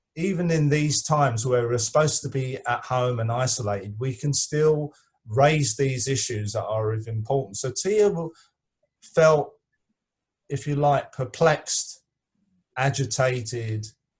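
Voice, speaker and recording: Somewhat breathy speech at a fairly slow pace with ordinary pitch variation. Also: man, medium pitch for a man. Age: 60s. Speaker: activist. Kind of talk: online discussion. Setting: video call. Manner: halting.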